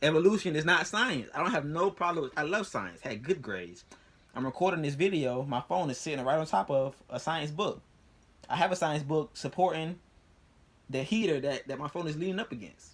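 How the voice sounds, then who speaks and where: Quick-paced and lively in intonation, a man speaks at a fairly high pitch with vocal fry. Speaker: youtuber explaining religion and science. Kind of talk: casual monologue to camera. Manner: fast; repetitive, stammering restarts.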